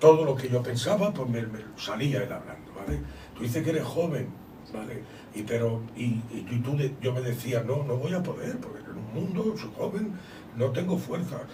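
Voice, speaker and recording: A man talks at a moderate pace and medium pitch with lively intonation. There is audible room echo and noticeable background noise. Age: 60s. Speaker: visiting preacher. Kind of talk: testimony.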